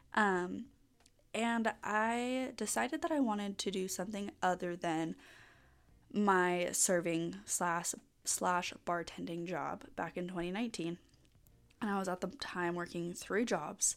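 On a very clean recording with a silent background, a woman at a medium pitch speaks in an upbeat tone with ordinary pitch variation. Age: 20s. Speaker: podcast host and permanent makeup business owner. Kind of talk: solo casual podcast monologue. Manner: chatty, upbeat with frequent laughs and fillers.

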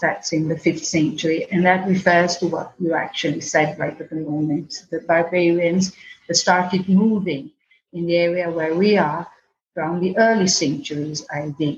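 Woman's somewhat breathy voice, fairly low in pitch, with ordinary pitch variation. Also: moderate pace. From Venice, Italy. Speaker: tour guide. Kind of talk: interview. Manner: halting.

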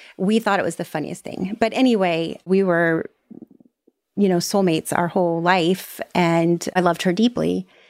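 Moderate pace from a woman with a fairly low pitch and fairly even intonation, on a very clean recording with a silent background. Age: 40s. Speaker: podcaster sharing divorce story. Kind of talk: interview testimony.

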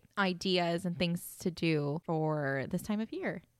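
In a very clean recording with a silent background and a dry, close sound with no echo, a woman uses a plain, everyday voice at medium pitch with lively intonation. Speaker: podcast host. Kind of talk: casual chat.

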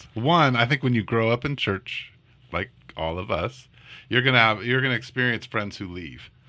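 An unremarkable speaking voice from a man, medium in pitch, with lively intonation at a fairly quick pace, on a very clean recording with a silent background. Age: 40s. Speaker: pastor and podcast co-host. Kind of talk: casual chat.

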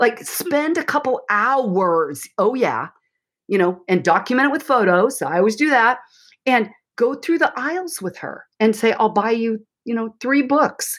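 Speaking at a fairly slow pace, a woman with a high voice makes very wide pitch swings on a very clean recording with a silent background. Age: 60s. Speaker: counselor and author. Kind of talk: interview.

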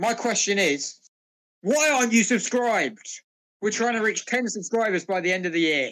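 At a moderate pace, the speaker talks with a British accent. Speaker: podcast co-host. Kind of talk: casual banter among friends. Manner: joking, sarcastic.

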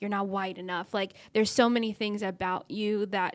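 A woman's normal speaking voice at a medium pitch, fairly quick in pace, with fairly even intonation. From Texas, Dallas. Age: 20s. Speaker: content creator, YouTuber. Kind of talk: casual interview chat.

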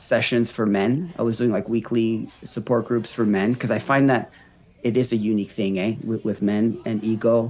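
Using a normal speaking voice, a man with a Canadian accent talks at a moderate pace and medium pitch with fairly even intonation. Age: 30s. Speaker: recovery coach and marathon runner. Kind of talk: casual interview conversation.

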